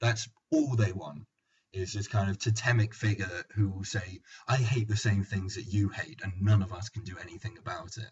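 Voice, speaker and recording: Here a man speaks with a London accent, in a fairly low, somewhat breathy voice. His pitch variation is ordinary. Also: moderate pace. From London, England. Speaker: podcast host. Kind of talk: casual banter podcast.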